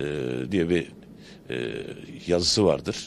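The sound is dry with no echo and light background noise as a man speaks with ordinary pitch variation. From Turkey. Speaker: pastırma shopkeeper. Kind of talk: street interview. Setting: outdoors at a bazaar. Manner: hesitant, many fillers. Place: shop. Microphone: handheld.

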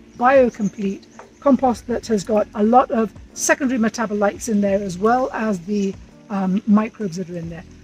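Faint music plays behind a woman who speaks at a moderate pace in a dry sound with no echo. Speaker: compost instructor. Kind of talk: tutorial. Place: garden. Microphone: camera far.

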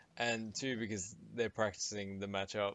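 The man's monotone, flat intonation comes through a dry sound with no echo. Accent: Australian. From Sydney, Australia. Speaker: gaming podcast co-host. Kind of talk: casual chat. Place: home room.

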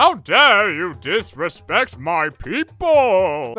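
Raised and projected, a man's high-pitched voice swings very widely in pitch at a very slow pace, with a theatrical, menacing tone. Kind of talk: comic overacting. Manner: indignant, theatrical, mock-menacing.

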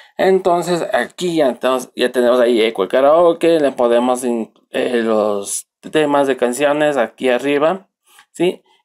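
A man at medium pitch, with ordinary pitch variation and very even loudness. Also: fairly slow pace. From Ecuador, Riobamba. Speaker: computer technician. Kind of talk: software tutorial. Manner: halting, with fillers.

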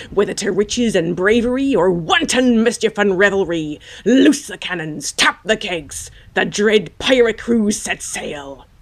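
At a moderate pace, a woman uses a put-on character voice at medium pitch. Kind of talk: poetry reading.

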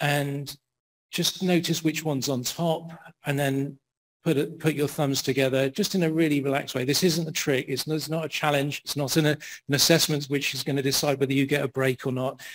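A man talks at a moderate pace, his fairly high voice fairly bright in tone and showing little pitch movement.

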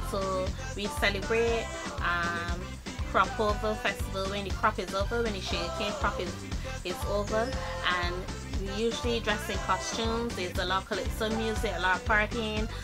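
Over clear music in the background, a woman with a Barbadian accent talks at a moderate pace. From Barbados. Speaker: vlogger. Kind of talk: casual talk to camera. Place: home room. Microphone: webcam.

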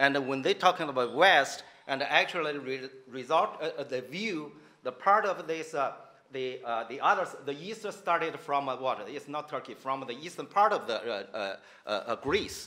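With a Chinese accent, a man talks fairly slowly in a fairly high voice with lively intonation. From China. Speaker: professor. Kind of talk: panel discussion. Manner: halting. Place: hall. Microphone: podium.

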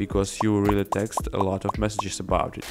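With noticeable background noise behind him, a man speaks at a moderate pace and fairly low pitch with a non-native accent. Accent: non-native English pronunciation. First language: non-native English speaker. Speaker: video editor. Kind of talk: software tutorial narration.

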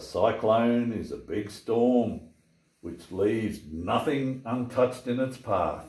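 The reader uses a natural voice, and the intonation stays fairly level.

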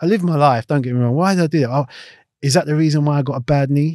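Over a quiet background, a voice with a South London accent races at a very fast pace, its tone dark and mellow. The sound is dry with no echo, and the pitch varies in an ordinary way. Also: man. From South London (Clapham/Battersea). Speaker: retired footballer; guest. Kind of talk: casual interview. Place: studio. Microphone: studio mic.

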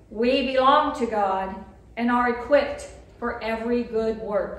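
A woman's high voice at a very slow pace, with audible room echo. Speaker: lay reader at Mass. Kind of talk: liturgical reading and prayer. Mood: calm, solemn. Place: church. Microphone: podium.

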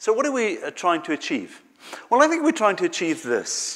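A man speaks over a quiet background. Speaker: church staff preacher. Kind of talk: sermon. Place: church.

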